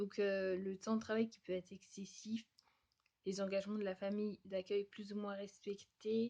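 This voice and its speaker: A woman's medium-pitched, dark and mellow voice at a fairly slow pace, monotone and flat in intonation. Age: 20s. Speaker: vlogger and au pair. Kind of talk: advice vlog. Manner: hesitant, many fillers.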